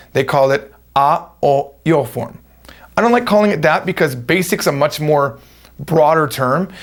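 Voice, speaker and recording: A man with an American accent, fairly high in pitch, at a moderate pace with lively intonation. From United States. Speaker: language teacher. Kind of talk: tutorial.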